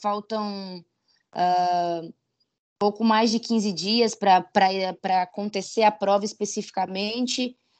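Over a quiet background, a woman talks at a very slow pace in a medium pitch with ordinary pitch variation. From Santa Catarina, southern Brazil. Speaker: Olympic sprinter. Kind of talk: interview.

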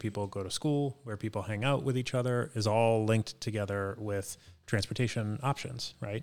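A man with an American accent in a normal speaking voice, fairly low in pitch, at a moderate pace with fairly even intonation, on a very clean recording with a silent background. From Boston, Dorchester. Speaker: marketing executive. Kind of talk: podcast interview.

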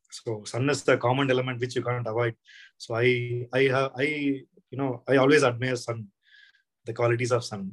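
A man's medium-pitched voice at a fairly slow pace

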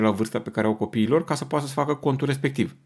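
A man's medium-pitched voice at a very fast pace. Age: 40s. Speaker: parenting podcast host. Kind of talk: monologue talk.

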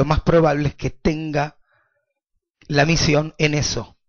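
In a Rioplatense accent, a man talks at a very slow pace. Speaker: rabbi. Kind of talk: lecture.

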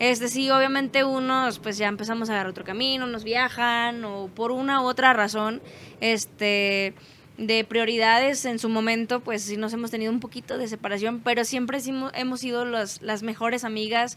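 The tone is bright and sharp, with monotone, flat intonation. The pace is moderate. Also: woman, fairly high pitch for a woman. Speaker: band musician. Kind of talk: casual chat.

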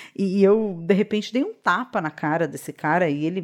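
A woman with a plain, everyday voice at medium pitch, moderate in pace with lively intonation, over a quiet background. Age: 30s. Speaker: podcast host. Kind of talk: personal reflective monologue.

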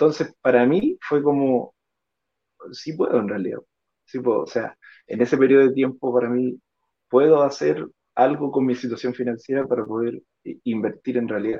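A man's medium-pitched voice with ordinary pitch variation, at a moderate pace with long, frequent pauses. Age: 30s. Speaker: fitness instructor sharing investor testimony. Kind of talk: testimony. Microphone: clear line.

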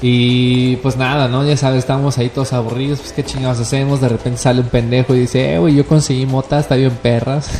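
Over noticeable background noise, a man at medium pitch speaks at a very fast pace with hardly any pauses. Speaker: cannabis user guest. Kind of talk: casual chat. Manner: animated.

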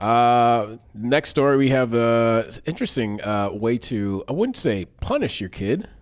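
An ordinary speaking voice from a man, medium pitch, ordinary pitch variation, fairly slow pace with hardly any pauses, on a very clean recording with a silent background. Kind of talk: casual chat.

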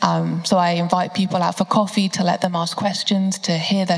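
Intonation here is monotone and flat. Noticeable background noise runs underneath. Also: woman. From southern England, Bedfordshire. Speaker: university student. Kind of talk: panel discussion. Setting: church service.

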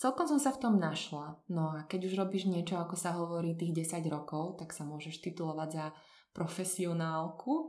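This woman's pitch is fairly low. She keeps to a moderate pace. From central Slovakia, Podpoľanie region. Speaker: translator. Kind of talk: casual interview.

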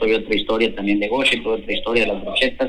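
A man speaks with ordinary pitch variation, with audible room echo and noticeable background noise around him. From central Mexico (Hidalgo). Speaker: chef. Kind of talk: interview.

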